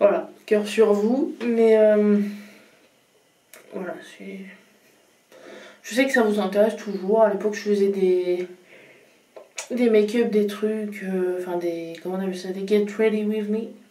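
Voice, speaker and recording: At a very slow pace with long, frequent pauses, the voice shows ordinary pitch variation and big swings in loudness, with audible room echo. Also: woman, medium pitch for a woman. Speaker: vlogger. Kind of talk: casual vlog talk to camera. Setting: at home in front of a mirror. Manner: hesitant, many fillers.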